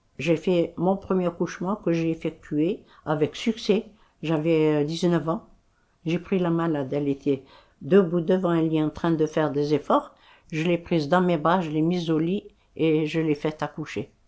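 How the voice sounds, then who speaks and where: A woman with a dark, mellow tone and a fairly low pitch, fairly slow and fairly even in intonation, over a quiet background. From Algeria, Sidi Bel Abbès. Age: 80s+. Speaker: retired nurse. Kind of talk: testimony.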